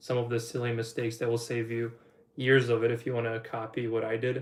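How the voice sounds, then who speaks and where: A man talks at a very fast pace with a slight Polish accent. His medium pitch stays in a monotone, flat intonation. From Poland. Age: 20s. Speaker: online business coach. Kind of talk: livestream Q&A. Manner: casual rambling.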